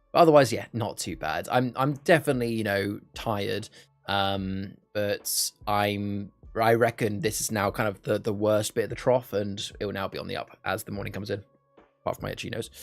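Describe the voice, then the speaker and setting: Music plays in the background. The speaker goes at a fairly quick pace with ordinary pitch variation. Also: man, fairly low pitch for a man. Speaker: live streamer hosting charity card game stream. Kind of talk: casual gameplay chat on live stream.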